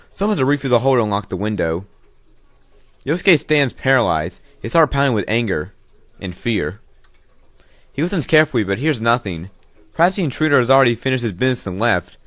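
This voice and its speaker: With music in the background, a man speaks at a very fast pace and a medium pitch. His pitch swings very widely, broken by long, frequent pauses. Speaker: let's play gamer. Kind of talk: reading aloud with commentary. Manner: halting.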